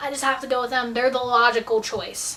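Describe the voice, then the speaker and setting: A woman's raised, projected voice. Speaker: YouTuber answering viewer questions. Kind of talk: casual Q&A vlog. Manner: animated.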